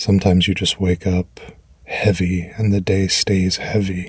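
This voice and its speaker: The man talks at a fairly low pitch with monotone, flat intonation. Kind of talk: comfort affirmations. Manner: gentle, warm.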